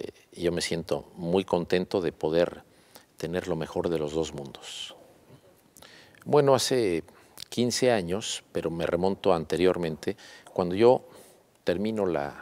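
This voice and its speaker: A man's very deep, low voice at a fairly slow pace, with ordinary pitch variation and long, frequent pauses. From Mexico (León, Guanajuato / Mexico City). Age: 60s. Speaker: businessman and university founder. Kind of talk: interview. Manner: hesitant, many filler sounds.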